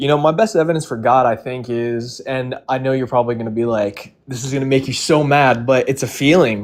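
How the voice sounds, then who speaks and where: A man with a normal speaking voice talks at a fairly quick pace and medium pitch, with ordinary pitch variation and hardly any pauses. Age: 20s. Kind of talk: casual debate.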